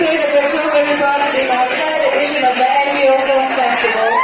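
A woman talks at a fairly quick pace. Crowd noise sits in the background, and room echo is audible. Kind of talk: event speech. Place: hall.

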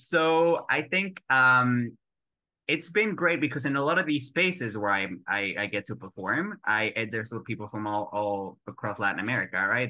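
In a Spanish accent, a man speaks at medium pitch and a moderate pace. His pitch swings very widely against a quiet background. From Mexico. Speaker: actor. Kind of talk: interview answer.

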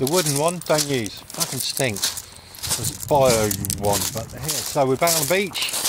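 Loud background noise surrounds speech at a moderate pace in a dry sound with no echo. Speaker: vlogger. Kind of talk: casual vlog chat. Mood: cheerful, upbeat. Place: beach. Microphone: phone near.

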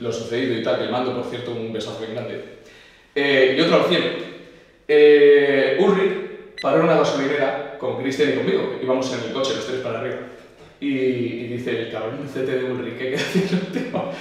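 A man's medium-pitched voice at a fairly quick pace, with ordinary pitch variation and strong room echo. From Spain. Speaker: video channel host; interviewee. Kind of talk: interview. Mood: relaxed, amused storytelling. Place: home room.

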